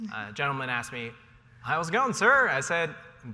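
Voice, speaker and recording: A man speaks with a General American accent. Audible room echo surrounds his voice. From Ohio, US Midwest. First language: Cantonese. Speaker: panelist, tech company employee. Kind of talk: panel discussion. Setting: stage with audience.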